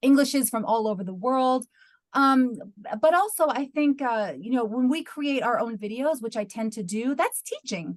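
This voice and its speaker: With a plain, everyday voice and an American accent, a woman talks at a moderate pace in a fairly high pitch with ordinary pitch variation over a quiet background. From US, New York. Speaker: university lecturer in English language teaching. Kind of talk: webinar Q&A answer.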